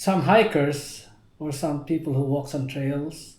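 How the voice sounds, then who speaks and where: A man speaks in a fairly high pitch. His voice is somewhat breathy with a dark, mellow tone. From Philippines. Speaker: navy veteran. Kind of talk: interview answer.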